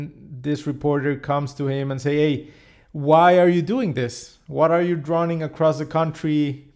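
A man speaks at a fairly high pitch with a Spanish accent. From Mexico, Cancun. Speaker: podcast host. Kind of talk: interview.

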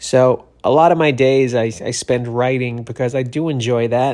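A man talks at a moderate pace in a plain, everyday voice, medium in pitch with fairly even intonation, on a very clean recording with a silent background. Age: 40s. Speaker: comedian and podcast host. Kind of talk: casual monologue. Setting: Los Angeles, cleaning out his place.

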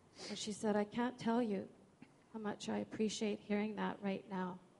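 A moderate pace over noticeable background noise. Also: woman. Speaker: churchgoer sharing testimony. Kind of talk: testimony. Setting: church.

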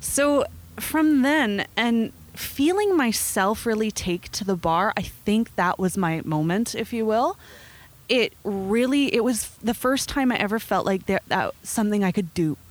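A woman in a normal speaking voice with a Canadian accent, fairly high in pitch, with lively intonation, very even loudness and a fairly slow pace. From Nelson, British Columbia, Canada. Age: 20s. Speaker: coffee shop owner. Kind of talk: interview.

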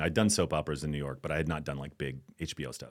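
This man speaks with vocal fry. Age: 50s. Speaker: actor. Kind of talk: casual interview.

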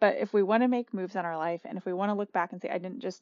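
A woman speaks at a fairly low pitch with ordinary pitch variation and a slightly mellow tone. The sound is dry and close, with no echo.

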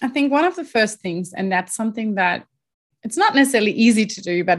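A woman with a German accent speaks at a fairly quick pace with ordinary pitch variation against a quiet background. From Germany. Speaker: leadership coach. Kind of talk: interview. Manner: hesitant with fillers.

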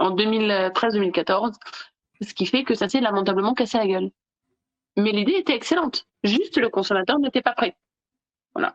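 A woman's fairly high voice, dry and close with no echo, broken by long, frequent pauses. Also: lively intonation, moderate pace. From southern France, Nice. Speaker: digital law expert. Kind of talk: casual interview.

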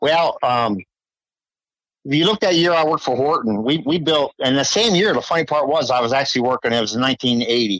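A man with an American accent speaks in a plain, everyday voice at a fairly high pitch, moving at a fairly quick pace with lively intonation and very even loudness. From Delaware, US. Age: 60s. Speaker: racing mechanic. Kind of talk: interview.

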